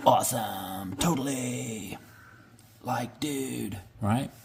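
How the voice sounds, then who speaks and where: A man's put-on character voice, raspy and medium in pitch, at a very slow pace. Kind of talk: casual slang.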